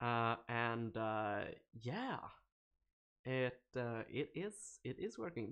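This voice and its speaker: A man speaks at a medium pitch with a Swedish accent. His pitch varies in an ordinary way against a quiet background. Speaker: programming live streamer. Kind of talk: live coding stream. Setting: live stream. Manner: animated; hesitant, many fillers.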